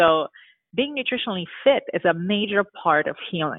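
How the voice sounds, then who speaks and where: A woman with a Romanian accent at a moderate pace. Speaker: dentist. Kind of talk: interview.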